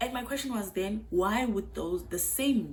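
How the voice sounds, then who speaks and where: Loud and animated, a woman speaks at a moderate pace with lively intonation and vocal fry. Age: 20s. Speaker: YouTuber. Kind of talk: casual vlog talk to camera.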